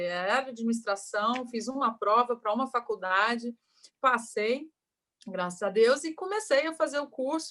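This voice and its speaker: A woman's fairly high voice, with ordinary pitch variation, unfolds at a fairly slow pace. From Brazil, Rio de Janeiro (born in Goiás). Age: 30s. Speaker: entrepreneur. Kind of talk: interview.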